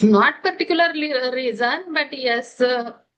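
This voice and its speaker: A woman with an Indian accent, high pitch and a bright, sharp tone. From India, Delhi. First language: Hindi. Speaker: English learner, homemaker. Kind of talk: interview conversation. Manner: halting, many hesitations.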